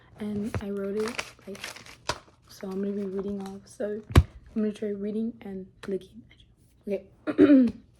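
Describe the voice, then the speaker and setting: A woman's medium-pitched voice at a moderate pace, with fairly even intonation, big swings in loudness, long and frequent pauses, and noticeable background noise. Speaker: student. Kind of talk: reading aloud.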